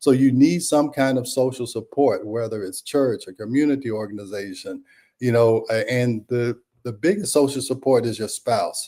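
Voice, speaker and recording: Dark and mellow in tone, a man's voice sits at a medium pitch with ordinary pitch variation and a moderate pace. The recording is very clean, the background silent. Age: 60s. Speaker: health radio show host. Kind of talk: casual talk radio health segment. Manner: halting, with many fillers and restarts.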